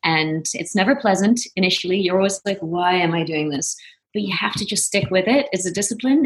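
In a somewhat breathy voice of medium pitch, a woman speaks with lively intonation. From Netherlands, Venlo (southeast). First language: Dutch. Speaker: actress. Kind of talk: casual chat.

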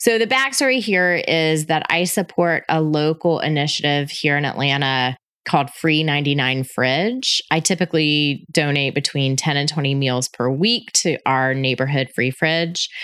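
Speaking in an American accent, a woman sounds upbeat, her voice very deep and low with ordinary pitch variation. She goes at a fairly slow pace with hardly any pauses and very even loudness. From US South, Florida Panhandle. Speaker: podcast host, hospitality marketing consultant. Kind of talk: solo podcast monologue. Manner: upbeat, conversational.

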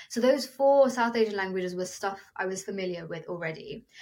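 At a moderate pace, a woman with a British accent speaks at a medium pitch. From England, Milton Keynes. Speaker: singer. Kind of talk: interview.

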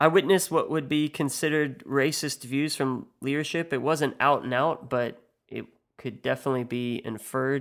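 On a very clean recording with a silent background, a man speaks with a Midwestern US accent. His medium pitch and fairly even intonation move at a moderate pace. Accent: US Midwest. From US Midwest. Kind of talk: scripted monologue podcast.

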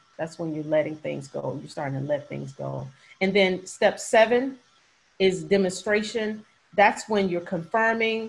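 Here is a woman with an ordinary speaking voice at medium pitch. Her pace is moderate and her pitch variation ordinary. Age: 50s. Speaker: forgiveness coach and speaker. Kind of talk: interview testimony.

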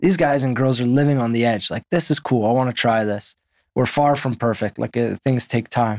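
A man with a medium pitch talks at a fairly quick pace with ordinary pitch variation and an unremarkable speaking voice. The sound is dry and close with no echo, in a very clean recording with a silent background. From Canada, Winnipeg. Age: 30s. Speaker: football coach. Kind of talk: interview conversation.

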